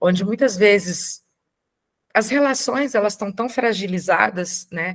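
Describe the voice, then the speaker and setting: A woman's voice with ordinary pitch variation. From Brazil, Brasília. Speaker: adoptive mother and invited speaker. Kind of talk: talk to support group.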